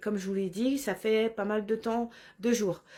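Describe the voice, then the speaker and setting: With fairly even intonation, a woman talks in a fairly high register. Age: 40s. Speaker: spiritual vlogger. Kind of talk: personal vlog monologue. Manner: halting, many hesitations.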